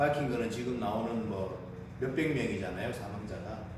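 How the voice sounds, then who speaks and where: A man is speaking amid noticeable background noise. Strong room echo surrounds his voice. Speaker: table tennis coach. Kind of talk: casual vlog chat. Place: gym. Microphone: camera far.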